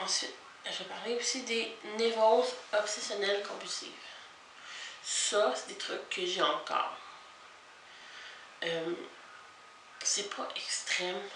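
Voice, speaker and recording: Over noticeable background noise, a woman with a fairly high pitch talks at a very slow pace, using lively intonation and long, frequent pauses. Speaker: vlogger. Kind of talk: casual talk to camera.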